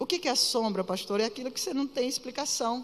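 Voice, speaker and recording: With ordinary pitch variation, the speech proceeds at a moderate pace. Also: woman. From Pará, northern Brazil. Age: 50s. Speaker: pastor. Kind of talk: sermon. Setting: church. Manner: animated.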